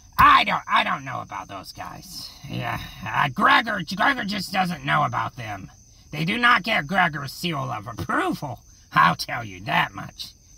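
This put-on character voice is raspy and low-to-middle in pitch, moving at a fairly slow pace. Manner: rambling, goofy, self-satisfied.

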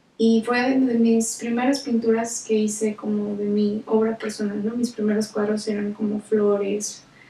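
A woman's monotone, flat delivery at a fairly slow pace, with audible room echo. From northern Mexico, Nuevo León. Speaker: visual artist. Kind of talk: personal account. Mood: calm, reflective storytelling. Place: home room.

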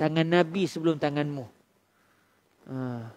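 The sound is dry, without any echo. A man speaks at a moderate pace. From Malaysia. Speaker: Islamic preacher. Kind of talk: religious lecture. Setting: surau, after dawn prayer. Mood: calm, warm teaching tone. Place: hall. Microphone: headset.

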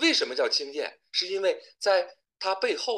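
A man speaks at a moderate pace. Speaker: university lecturer. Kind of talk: lecture. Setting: video call. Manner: formal. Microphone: webcam.

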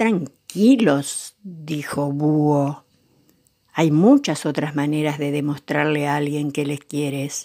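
Speaking at a very slow pace, a woman with a very deep, low pitch and a dark, mellow tone keeps her intonation fairly even on a very clean recording with a silent background. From Argentina, Buenos Aires area. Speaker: grandmother storyteller reading children's books. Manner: slow, tender and affectionate, addressing children.

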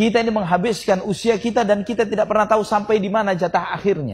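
Speaking very quickly, the man has a high voice whose pitch moves a normal amount. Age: 40s. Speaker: Islamic preacher. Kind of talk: sermon. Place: hall. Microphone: podium.

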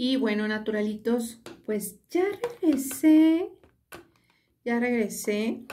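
A woman speaks very slowly with long, frequent pauses, her pitch fairly high and her intonation lively. Her tone is dark and mellow, with light background noise behind her. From Mexico. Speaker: beauty vlogger. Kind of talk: tutorial. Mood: relaxed, pleased. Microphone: phone near.

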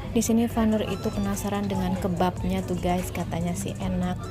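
There is clear music in the background. A woman talks at a moderate pace. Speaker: food vlogger. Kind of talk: casual vlog chat. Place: cafe. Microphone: phone near.

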